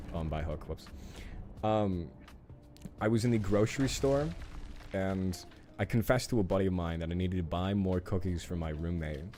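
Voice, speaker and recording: Over music in the background, a man with a very deep, low pitch speaks at a fairly quick pace with lively intonation, broken by long, frequent pauses. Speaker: gaming streamer. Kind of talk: live gameplay stream chat. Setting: live stream. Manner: loud; animated, expressive.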